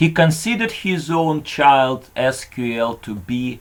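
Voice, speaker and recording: On a very clean recording with a silent background, a man with a non-native accent speaks with lively intonation. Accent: noticeable foreign. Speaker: conference presenter. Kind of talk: conference talk.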